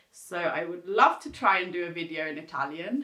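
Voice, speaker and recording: This woman speaks at a medium pitch with ordinary pitch variation. Noticeable background noise sits behind her. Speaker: beauty YouTuber. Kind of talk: makeup tutorial. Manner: casual, chatty.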